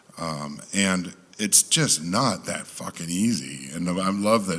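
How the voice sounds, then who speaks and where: A man's very deep, low voice with ordinary pitch variation, set against noticeable background noise. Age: 60s. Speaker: sound engineer and producer. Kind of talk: panel discussion. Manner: animated.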